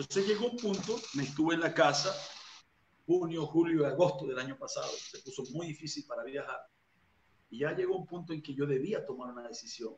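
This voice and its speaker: Through noticeable background noise, a man talks at a fairly quick pace in a high pitch with big swings in loudness. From Venezuela, Barcelona (Anzoátegui); Venezuela. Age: 40s. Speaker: evangelist preacher; interviewee. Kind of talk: interview testimony. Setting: video call. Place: home room. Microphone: video call.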